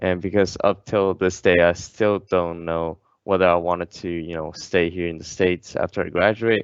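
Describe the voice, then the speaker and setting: In a Chinese accent, a man speaks with a very deep, low pitch and monotone, flat intonation. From China, Qingdao. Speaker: engineering student ambassador. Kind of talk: casual interview.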